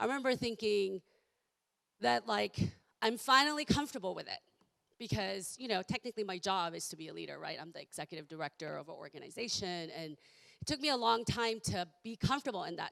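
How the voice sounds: A woman speaks with a croaky edge and vocal fry. Her tone is fairly bright, and her pitch varies in an ordinary way.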